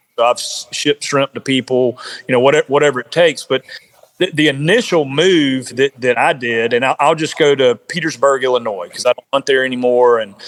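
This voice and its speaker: Here a man with an American accent talks at a fairly quick pace. His pitch is fairly high, with ordinary variation. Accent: Southern US, redneck. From South Carolina. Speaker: bowhunter and outdoor gear business owner. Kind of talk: podcast interview. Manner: repetitive, halting.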